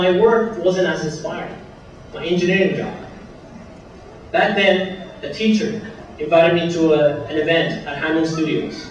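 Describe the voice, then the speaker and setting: A man speaks with a high pitch and ordinary pitch variation. Noticeable background noise and audible room echo fill the recording. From Venezuela. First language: Spanish. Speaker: student speaker. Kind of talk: commencement speech. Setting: stage with audience.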